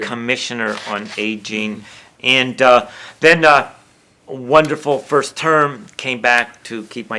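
His tone comes across bright and sharp. The man's pitch shifts in an ordinary way. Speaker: social work professor, aging policy advisor. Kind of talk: oral history interview answer.

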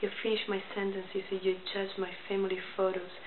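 Noticeable background noise behind a woman speaking at a moderate speed. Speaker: poet. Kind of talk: poetry reading. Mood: calm, pointed, slightly confrontational. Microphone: webcam.

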